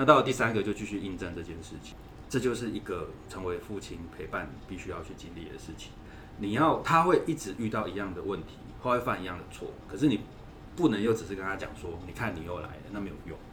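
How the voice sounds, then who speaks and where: Recorded with audible room echo, a man with a fairly low voice talks at a very fast pace, his intonation lively and his loudness swinging widely. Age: 40s. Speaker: parenting consultant and author. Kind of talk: interview.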